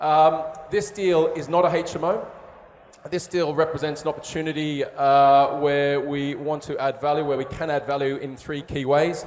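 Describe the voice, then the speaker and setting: With an Australian accent, a man speaks at a moderate pace in a fairly high pitch and fairly even intonation, amid noticeable background noise and audible room echo. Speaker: property developer. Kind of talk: investment pitch. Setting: stage with audience. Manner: hesitant, many fillers.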